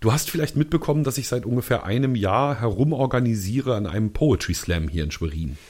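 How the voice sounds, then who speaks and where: Medium-pitched and fairly quick, a man talks with hardly any pauses. His pitch swings very widely, and vocal fry comes through. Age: young. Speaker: podcast co-host. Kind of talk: casual chat.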